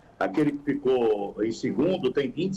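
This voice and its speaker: A man at a fairly high pitch and moderate pace, with very wide pitch swings and noticeable background noise. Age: 60s. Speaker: radio football commentator. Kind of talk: casual chat.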